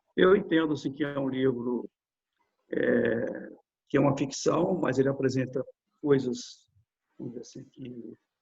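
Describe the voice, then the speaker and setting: Somewhat breathy and medium-pitched, a man speaks at a fairly slow pace with long, frequent pauses and big swings in loudness. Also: ordinary pitch variation. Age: 60s. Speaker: lawyer and author, retired police officer. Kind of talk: interview. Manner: halting, with frequent fillers and repetitions.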